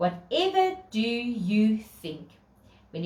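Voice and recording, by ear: The text is read aloud in a natural voice.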